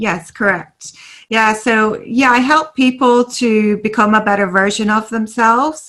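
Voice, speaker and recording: In a very clean recording with a silent background, a woman speaks at a fairly slow pace and very even loudness, with a fairly high pitch and a bright, sharp tone. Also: ordinary pitch variation. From Ireland, Dublin suburbs. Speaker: life coach. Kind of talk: interview.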